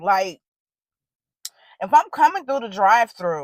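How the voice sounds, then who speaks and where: Her fairly high voice swings very widely in pitch as this woman talks in an animated tone, recorded with a dry, close sound and no echo. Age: 40s. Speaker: vlogger. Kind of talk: casual chat. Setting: outdoors. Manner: loud.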